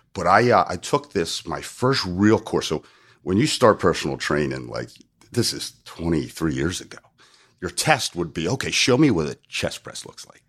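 On a very clean recording with a silent background, a man with an American accent speaks at a moderate pace in a very deep, low pitch with vocal fry, very wide pitch swings and big swings in loudness. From US, South New Jersey. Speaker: strength and conditioning coach. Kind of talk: casual interview chat, explaining.

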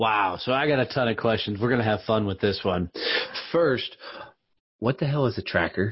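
With long, frequent pauses, a man speaks at a moderate pace in a somewhat breathy, medium-pitched voice, keeping his loudness very even and his pitch variation ordinary. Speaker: podcast host. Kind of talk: casual interview.

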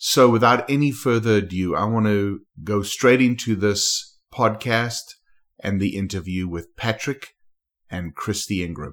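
Fairly slow speech from a man, on a very clean recording with a silent background. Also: fairly low pitch for a man, ordinary pitch variation. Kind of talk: interview. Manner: enthusiastic.

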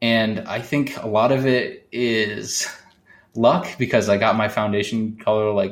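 A man with an American accent has an unremarkable speaking voice at medium pitch with fairly even intonation. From California. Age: 20s. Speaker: podcast video editor, gender-fluid guest. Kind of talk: casual interview conversation.

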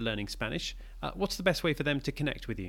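Speaking very fast, a man uses a fairly high pitch and a bright, sharp tone. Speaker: school podcast host. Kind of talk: interview.

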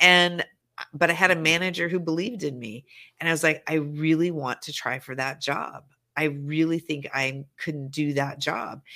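On a very clean recording with a silent background, a woman with an American accent speaks at a moderate pace in a very deep, low pitch, with ordinary pitch variation and big swings in loudness. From Montana, rural US. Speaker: business negotiation strategist. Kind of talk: casual interview chat.

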